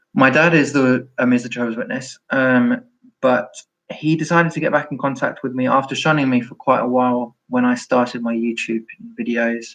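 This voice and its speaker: A man with a London accent speaks with fairly even intonation. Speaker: former Jehovah's Witness YouTuber. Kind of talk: live stream chat. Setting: live stream. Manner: halting.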